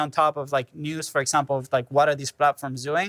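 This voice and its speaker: With a non-native accent, a man speaks at a very fast pace in a fairly high, bright, sharp tone with fairly even intonation, on a very clean recording with a silent background and a dry, close sound with no echo. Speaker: podcaster, panelist. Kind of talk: live panel discussion.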